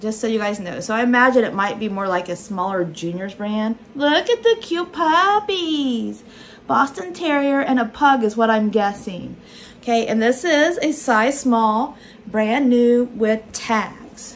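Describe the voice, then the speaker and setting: Delivery comes at a fairly slow pace with lively intonation. It is a normal speaking voice. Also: woman, fairly high pitch for a woman. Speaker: online clothing reseller. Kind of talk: unboxing haul video. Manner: casual, chatty.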